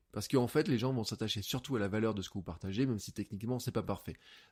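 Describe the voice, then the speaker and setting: Energetic male voice at medium pitch, very clean recording over a silent background. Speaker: podcast host and coach. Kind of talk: solo podcast monologue. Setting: home office, untreated room. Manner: fast.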